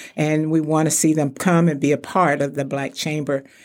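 Over a very clean recording with a silent background, a woman with a very deep, low pitch speaks at a moderate pace in a Texan accent. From Texas (Palestine, Wichita Falls). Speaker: retired insurance executive, chamber president. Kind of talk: interview.

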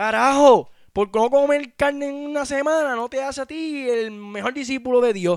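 With a Puerto Rican accent, a man talks at a moderate pace in an extremely high pitch. His tone is animated. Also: ordinary pitch variation. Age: 20s. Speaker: podcast host. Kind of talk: solo commentary rant.

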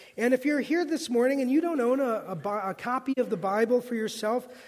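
Against noticeable background noise, a man talks at a moderate pace in an extremely high pitch. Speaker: pastor. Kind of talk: sermon. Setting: church.

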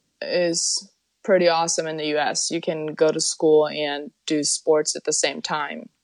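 Talking at a very slow pace, a woman speaks with a German accent. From Germany. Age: 20s. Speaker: professional soccer player. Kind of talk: interview.

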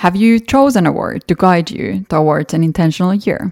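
A woman with a Finnish accent speaks at a moderate pace and a fairly low pitch, in a dry, close sound with no echo. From Finland. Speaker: podcast host and fashion model. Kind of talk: solo podcast monologue.

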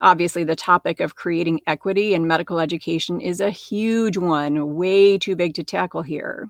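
In a normal speaking voice, a woman with an American accent and a fairly low pitch talks at a moderate pace with hardly any pauses and fairly even intonation. The sound is dry and close with no echo, over a quiet background. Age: 50s. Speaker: podcast host, physician and life coach. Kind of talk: solo podcast monologue.

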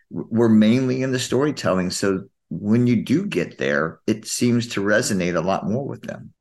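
With a normal speaking voice, a man talks at a moderate pace with lively intonation and a fairly low pitch against a quiet background. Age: 50s. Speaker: podcast co-host. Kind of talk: casual chat.

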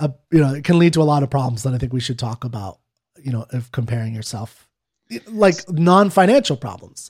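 Somewhat breathy and at a medium pitch, a man talks at a fairly quick pace with lively intonation and big swings in loudness. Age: 30s. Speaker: podcast co-host, non-expert. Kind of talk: casual chat.

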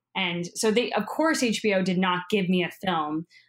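A woman's medium-pitched voice with ordinary pitch variation, an ordinary speaking voice. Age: 30s. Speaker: documentary filmmaker. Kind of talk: interview.

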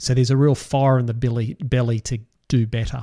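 A man speaks with an Australian accent in a medium pitch. The sound is dry and close, with no echo. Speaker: financial advisor podcast host. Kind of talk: solo podcast talk.

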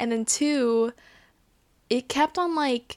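Speaking at a fairly slow pace, a woman sounds animated, her pitch fairly high. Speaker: podcast host. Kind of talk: casual solo chat review.

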